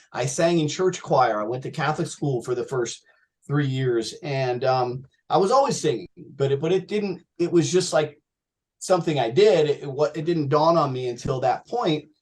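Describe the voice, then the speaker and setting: A man with an American accent, fairly high-pitched and somewhat breathy, at a moderate pace with ordinary pitch variation. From US Northeast (New Jersey). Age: 50s. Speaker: rock singer. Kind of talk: interview. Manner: animated.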